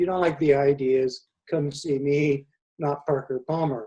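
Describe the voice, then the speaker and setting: A man speaks with a dark, mellow tone. There is a somewhat breathy quality to his voice. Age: 70s. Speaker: presenter at a community talk series. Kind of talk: prepared presentation.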